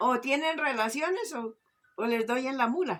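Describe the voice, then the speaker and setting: Moderate-paced speech in a woman's high pitch, ordinary in pitch variation. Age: 60s. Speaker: interviewee. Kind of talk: interview answers.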